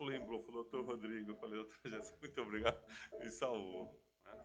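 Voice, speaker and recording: Speaking at a fairly quick pace, a man keeps to a medium pitch. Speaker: radio host. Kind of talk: casual chat.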